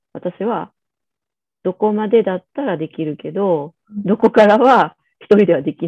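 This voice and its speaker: A woman speaks with lively intonation. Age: 40s. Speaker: pediatrician. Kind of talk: casual chat. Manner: casual, hesitant with fillers.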